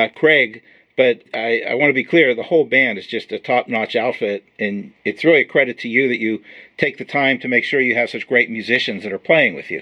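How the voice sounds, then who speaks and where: In an ordinary speaking voice, a man of medium pitch speaks at a fairly quick pace with ordinary pitch variation. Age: 50s. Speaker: podcast host. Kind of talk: interview.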